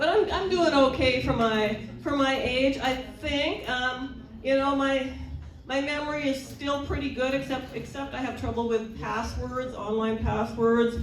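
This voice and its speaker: Against noticeable background noise and audible room echo, a woman with a high pitch speaks at a fairly slow pace with ordinary pitch variation. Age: 60s. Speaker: stand-up comedian. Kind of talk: stand-up.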